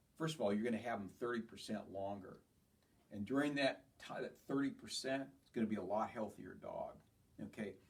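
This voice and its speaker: A man talks at a fairly quick pace in a normal speaking voice, pitched at a medium level. His loudness swings widely. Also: ordinary pitch variation. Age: 60s. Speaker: chiropractor. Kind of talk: health talk to patients. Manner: casual, conversational.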